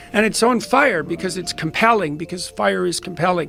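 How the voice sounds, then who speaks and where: With music in the background, a high-pitched man talks at a fairly quick pace with ordinary pitch variation. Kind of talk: reflective talk on a biblical story.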